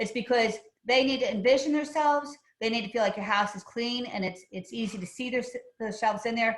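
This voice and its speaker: A woman talks at a fairly quick pace. Her pitch is fairly high. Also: ordinary pitch variation. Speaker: real estate agent and home stager. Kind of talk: webinar presentation. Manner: fast.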